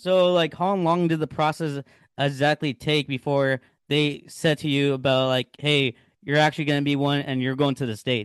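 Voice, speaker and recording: This man has a normal speaking voice, pitched fairly high, with an American accent. He talks at a moderate pace with fairly even intonation, in a dry, close sound with no echo and a quiet background. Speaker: podcast host. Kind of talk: casual interview. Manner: casual, filler-heavy.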